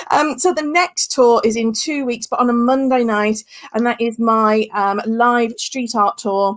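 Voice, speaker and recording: Her pitch is high, with ordinary variation. She speaks at a fairly slow pace with a Birmingham accent. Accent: Brummie. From West Midlands, England (Staffordshire). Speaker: tour guide hosting online tours. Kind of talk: casual wrap-up of a live online tour. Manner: hesitant, many fillers.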